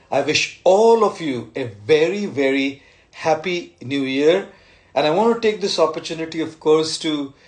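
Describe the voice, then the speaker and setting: Lively intonation runs through what this man says. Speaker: speaker. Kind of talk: live-stream address to followers. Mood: warm, grateful, festive. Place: home room. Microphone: phone near.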